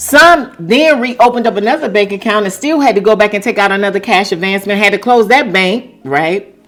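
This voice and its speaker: Over noticeable background noise, a woman talks at a fairly quick pace. Her intonation is lively. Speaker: YouTube commentary vlogger. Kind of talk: casual commentary monologue.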